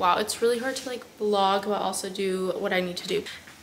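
A woman's fairly high voice with fairly even intonation, amid noticeable background noise. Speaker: law student vlogger. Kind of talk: casual vlog. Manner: chatty.

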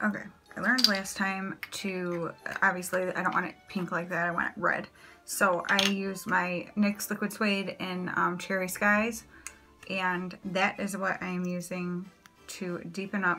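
A woman speaks in a monotone, flat intonation at a fairly slow pace, with clear music in the background. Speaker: makeup vlogger. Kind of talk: tutorial. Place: home room. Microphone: phone near.

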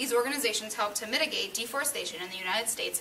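A woman talks at a very fast pace. Her pitch variation is ordinary, with light background noise. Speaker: student playing political candidate; candidate. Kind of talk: staged mock debate for class. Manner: formal. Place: classroom. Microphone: camera far.

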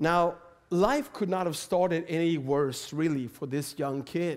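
A man with a Swedish accent speaks at a fairly slow pace in a fairly high pitch, with ordinary pitch variation against a quiet background. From Sweden. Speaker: preacher. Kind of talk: sermon. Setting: church. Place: church. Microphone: headset.

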